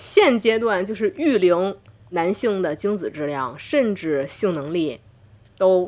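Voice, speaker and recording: Speaking at a medium pitch, a woman talks at a very slow pace. Her pitch swings very widely. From Tianjin, China. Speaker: doctor and podcast host. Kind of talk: casual interview conversation. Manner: animated.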